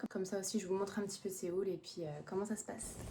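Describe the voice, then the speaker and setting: A woman at a medium pitch, with noticeable background noise. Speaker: online clothing entrepreneur, vlogger. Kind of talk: casual vlog. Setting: small office. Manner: hesitant, many fillers.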